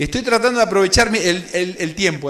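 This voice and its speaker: Amid noticeable background noise and audible room echo, a man with a high pitch uses a raised, projected voice with ordinary pitch variation. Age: 30s. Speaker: preacher, youth leadership workshop speaker. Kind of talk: sermon-style workshop talk. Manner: fast.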